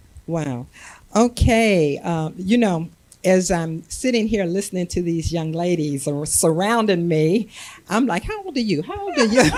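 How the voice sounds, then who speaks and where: Against noticeable background noise, a woman with a fairly low pitch talks at a fairly slow pace with lively intonation. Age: 70s. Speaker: panel guest with doctorate. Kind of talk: panel discussion.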